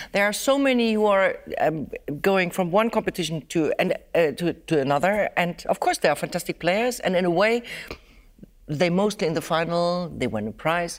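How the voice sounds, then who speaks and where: In a very clean recording with a silent background, a woman with medium pitch uses an ordinary speaking voice. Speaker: violinist and teacher. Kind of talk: interview, conversational.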